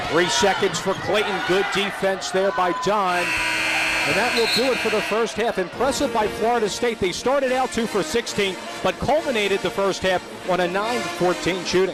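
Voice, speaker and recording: A man talks at a moderate pace with a high pitch and ordinary pitch variation. His loudness stays very even, and background noise is noticeable. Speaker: sports play-by-play announcer. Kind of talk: live basketball and soccer play-by-play call.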